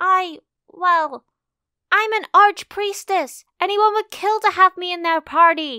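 A woman uses a put-on character voice at an extremely high pitch, speaking fairly slowly with long, frequent pauses. The recording is very clean with a silent background. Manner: haughty, defensive, loud.

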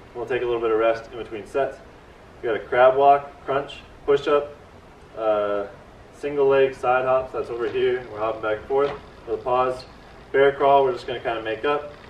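In a room with audible echo and light background noise, a man talks at a fairly quick pace. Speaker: workout host. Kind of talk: casual tutorial. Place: garden. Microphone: camera far.

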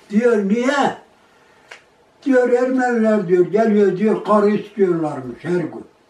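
Speaking very slowly in a high voice, a man keeps his loudness very even while audible room echo surrounds him. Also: ordinary pitch variation. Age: 80s+. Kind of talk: oral history interview answer. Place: home room. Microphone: camera far.

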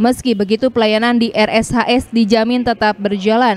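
Noticeable background noise behind a woman's fairly high, monotone and flat voice at a moderate pace. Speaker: TV news reporter. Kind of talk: news reading.

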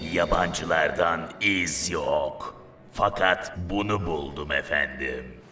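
A man's cartoonish character voice at a very slow pace, with clear background noise. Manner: servile.

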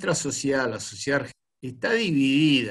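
A man talks at a moderate pace. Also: quiet background. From Argentina, Buenos Aires. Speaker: club host. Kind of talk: casual chat. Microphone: video call.

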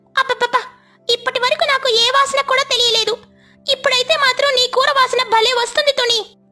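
A cartoonish character voice moves at a moderate pace over music in the background. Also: woman, extremely high pitch for a woman.

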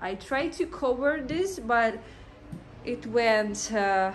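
A woman speaks slowly at a fairly high pitch. Her intonation is lively, and room echo is audible.

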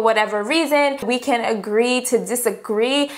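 High pitch marks this woman's voice. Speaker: beauty vlogger. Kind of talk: casual vlog chat. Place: home room.

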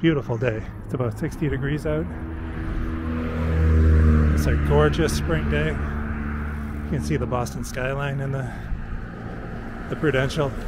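A man talks at a fairly slow pace with long, frequent pauses, his voice dry with no echo over loud background noise. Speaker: walking-tour vlogger. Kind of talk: casual narration. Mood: relaxed, pleased. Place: street. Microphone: phone near.

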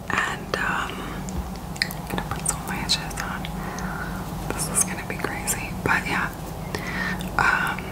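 Very slow whispering from a woman, broken by long, frequent pauses. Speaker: beauty vlogger. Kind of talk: casual vlog chat. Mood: cheerful, excited. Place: home room. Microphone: phone near.

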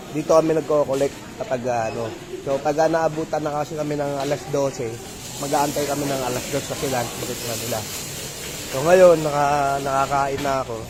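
Noticeable background noise sits under a man's fairly quick speech. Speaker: vlogger. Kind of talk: casual vlog. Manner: halting.

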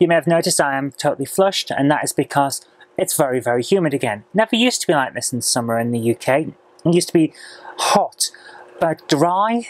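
A woman with a very deep, low pitch speaks at a fairly quick pace with lively intonation, her voice dry with no echo. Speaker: vlogger. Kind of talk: casual vlog chat. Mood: chatty, mildly opinionated. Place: office. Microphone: lapel.

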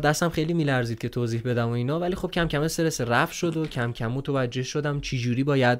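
The background is quiet. A man speaks very fast with ordinary pitch variation. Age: 20s. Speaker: voice-over artist and content creator; content creator. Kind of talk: interview. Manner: casual. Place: home room. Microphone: studio mic.

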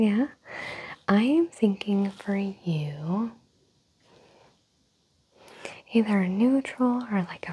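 A soft-spoken woman uses a gentle tone and ordinary pitch variation over light background noise. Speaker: makeup roleplay host. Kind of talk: soft-spoken roleplay talk. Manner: soft, gentle ASMR close voice. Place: home room. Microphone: lapel.

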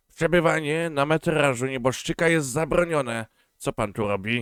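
In a put-on character voice, a man sounds gruff at a fairly high pitch, moving at a moderate pace with ordinary pitch variation over a dry, close sound with no echo. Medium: read story. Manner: gruff, blunt.

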